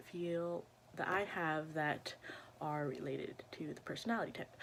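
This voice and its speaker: With a bright, sharp tone, a woman speaks at a fairly slow pace. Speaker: vlogger. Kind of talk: casual vlog monologue. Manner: halting, many fillers.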